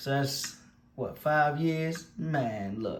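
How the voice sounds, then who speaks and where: A man speaks in a Baltimore accent, somewhat breathy. Audible room echo surrounds the voice. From Baltimore, Maryland. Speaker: YouTuber. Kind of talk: casual commentary. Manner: animated.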